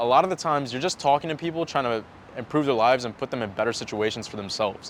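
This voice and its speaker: A man with an American accent talks at a very fast pace, his pitch medium and his pitch variation ordinary. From mixed: Japan, then United States from first grade. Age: 20s. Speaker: sales coach. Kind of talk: personal story monologue to camera. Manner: casual, conversational.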